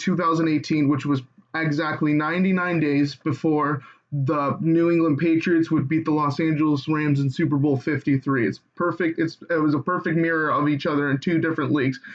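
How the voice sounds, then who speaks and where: Fairly high in pitch, a man speaks with monotone, flat intonation and very even loudness. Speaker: online conspiracy video maker. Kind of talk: casual explainer tutorial. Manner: halting, stuttering; choppy.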